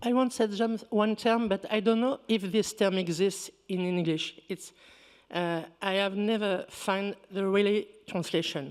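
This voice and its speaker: A woman with a French accent, medium in pitch, at a fairly slow pace with fairly even intonation. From rural Picardy, France (born North Africa). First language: Berber. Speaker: researcher, panelist. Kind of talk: panel discussion.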